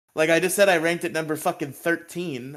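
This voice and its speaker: This is a very clean recording with a silent background. The voice belongs to a man. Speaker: podcast co-host recapping episodes. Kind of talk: casual chat. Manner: animated.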